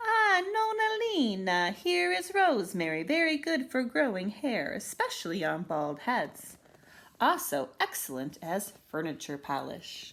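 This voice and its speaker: Pitched fairly high, a woman puts on a character voice and speaks at a fairly slow pace. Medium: read story. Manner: confident, warm.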